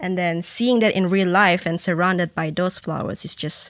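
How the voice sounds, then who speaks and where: In a very clean recording with a silent background and a dry, close sound with no echo, a woman speaks at medium pitch in a flat monotone. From Malaysia. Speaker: student podcast host. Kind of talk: casual chat.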